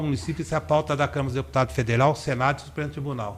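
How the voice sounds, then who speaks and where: A man's medium-pitched voice sounds somewhat breathy as he speaks with ordinary pitch variation. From Brazil, Limeira (São Paulo state). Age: 60s. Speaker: political candidate. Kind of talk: interview.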